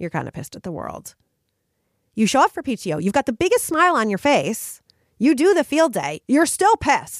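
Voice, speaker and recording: Woman's high-pitched, animated voice at a fairly quick pace, with very wide pitch swings and big swings in loudness, dry and close with no echo on a very clean recording with a silent background. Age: 40s. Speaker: podcast host, women's life coach. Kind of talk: solo motivational monologue.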